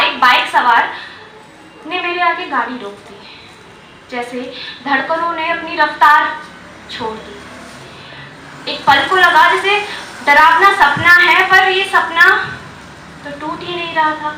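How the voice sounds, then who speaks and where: A woman with an extremely high pitch uses a raised, projected voice with ordinary pitch variation, big swings in loudness and long, frequent pauses over noticeable background noise. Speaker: open mic storyteller / poet. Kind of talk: open mic poetry and storytelling performance. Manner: narrative, suspenseful, recounting a personal story.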